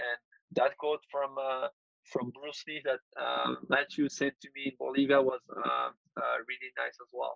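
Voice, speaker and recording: In a French accent, a man speaks at a fairly slow pace. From France. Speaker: freelance designer. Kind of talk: interview. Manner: halting, many fillers.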